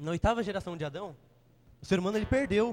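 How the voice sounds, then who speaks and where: With lively intonation, the man moves along at a fairly quick pace. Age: 20s. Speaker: lay preacher. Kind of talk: sermon. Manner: halting.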